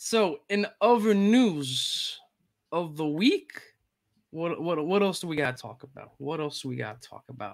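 Vocal fry from a man with a fairly high pitch, lively intonation, and a fairly slow pace

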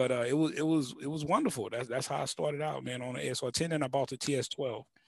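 A man with an American accent talks fairly quickly at a fairly high pitch, his intonation fairly even. The sound is dry with no echo, and the background is quiet. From US South, Houston. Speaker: music producer and YouTube creator; YouTube creator. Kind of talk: casual interview. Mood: relaxed, storytelling. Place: studio. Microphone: headset.

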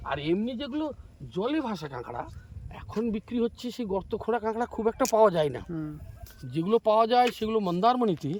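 A high-pitched man with lively intonation. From West Bengal, Purba Medinipur coast. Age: 60s. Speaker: retired local resident. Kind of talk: casual interview. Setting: outdoors on beach.

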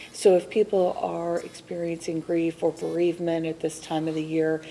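A plain, everyday voice belongs to a woman speaking at a moderate pace in a fairly low pitch. Light background noise is present. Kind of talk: interview answer. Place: studio.

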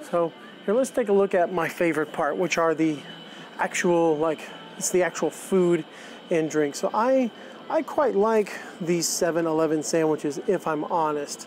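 Music plays in the background of this dry recording with no echo, and the speech moves at a moderate pace. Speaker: vlogger showing a store. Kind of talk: casual vlog chat. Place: shop. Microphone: phone near.

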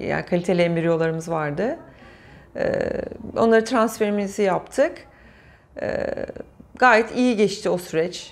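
The woman's pace is fairly slow. Her pitch varies in an ordinary way. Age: 40s. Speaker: patient sharing IVF story. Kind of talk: interview testimony. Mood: warm, emotional recollection. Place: studio.

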